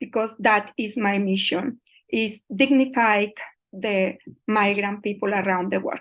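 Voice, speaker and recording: A woman with a Colombian accent speaks at a medium pitch. Her pace is fairly slow and her intonation fairly even. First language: Spanish. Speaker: migrant mental health researcher. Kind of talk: online presentation. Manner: halting.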